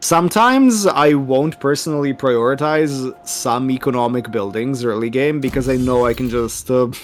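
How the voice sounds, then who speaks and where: A man with a non-native accent talks at a moderate pace and medium pitch, with ordinary pitch variation and hardly any pauses. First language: not English. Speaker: strategy game player. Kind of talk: casual gameplay chat.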